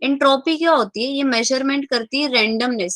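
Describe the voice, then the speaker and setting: A soft-spoken woman's high, bright and sharp voice at a fairly slow pace, with ordinary pitch variation and a dry, close sound with no echo. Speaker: chemistry teacher. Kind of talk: online class lecture. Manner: speaking softly.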